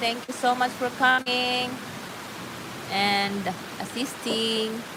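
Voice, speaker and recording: Over noticeable background noise, a woman with a Filipino accent speaks in a high voice at a very slow pace, with long, frequent pauses. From Philippines, Davao, Mindanao. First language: Bisaya. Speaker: livestream host. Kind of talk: casual chat. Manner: chatty, filler-heavy.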